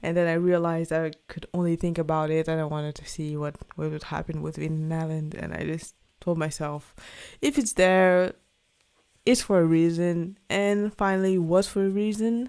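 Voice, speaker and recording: A woman's fairly low voice with a non-native accent, moderate pace, fairly even intonation and big swings in loudness, on a very clean recording with a silent background. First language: not English. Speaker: podcast host, book reviewer. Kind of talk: casual book review monologue. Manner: halting, many fillers and restarts.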